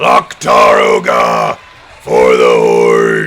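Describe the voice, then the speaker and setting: Using a put-on character voice, a man is shouting. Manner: gruff, battle cry.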